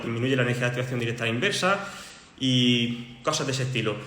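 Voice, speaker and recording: Noticeable background noise and audible room echo surround this recording. A man speaks at a medium pitch and a very fast pace. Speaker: chemistry tutor. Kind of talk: livestream lesson. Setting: livestream.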